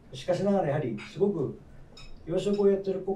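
A man speaks at a high pitch with a dark, mellow tone. The room echo is audible. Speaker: hotel executive chef. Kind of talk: roundtable discussion. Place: cafe.

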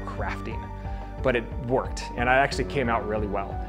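A man's voice with clear music in the background. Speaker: golf simulator vlogger. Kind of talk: casual vlog explanation. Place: garage.

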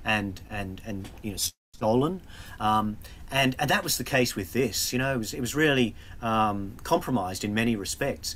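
A man talks at a moderate pace. His pitch shows ordinary variation. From Australia. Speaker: museum curator. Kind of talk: illustrated talk. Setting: video call. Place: office.

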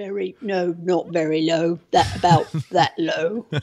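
Putting on a character voice, a woman sounds strained, pitched fairly low with ordinary pitch variation. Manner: forced low pitch, hard to talk.

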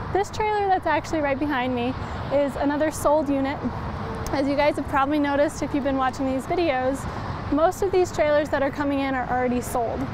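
A woman talks at a very fast pace in a high pitch, with ordinary pitch variation. The sound is dry with no echo, and there is noticeable background noise. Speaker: presenter. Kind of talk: live product walkaround presentation. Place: street.

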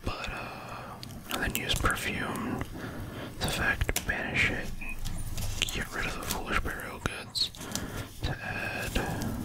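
A soft-spoken voice whispers at a very slow pace. Loud background noise fills the recording. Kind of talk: casual deck explanation. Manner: soft ASMR whisper, rambling.

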